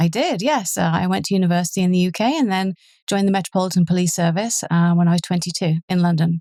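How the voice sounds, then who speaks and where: A woman with an English accent, very fast, with a dark, mellow tone and very even loudness. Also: fairly low pitch for a woman, ordinary pitch variation. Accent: English accent, noticeable. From southern England. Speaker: police superintendent. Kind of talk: interview.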